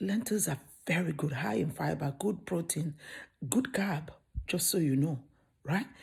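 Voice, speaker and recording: A soft-spoken, somewhat breathy woman with a fairly low voice talks at a moderate pace in an animated tone, with lively intonation, very even loudness, and long, frequent pauses. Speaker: cooking youtuber. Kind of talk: cooking tutorial.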